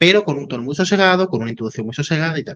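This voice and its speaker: A man's calm voice with lively intonation against a quiet background. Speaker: YouTube interviewer. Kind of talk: interview. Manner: calm at first, then fast.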